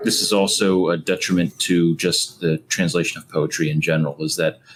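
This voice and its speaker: A man talks at a fairly quick pace in a very deep, low pitch. Music plays in the background. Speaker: film podcast co-host. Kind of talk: casual discussion.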